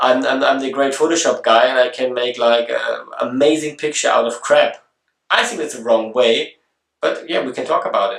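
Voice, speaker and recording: The pace is moderate. Long, frequent pauses break up the speech. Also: man. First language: German. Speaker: photography video blogger. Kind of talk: casual vlog introduction. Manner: halting, with many fillers and restarts.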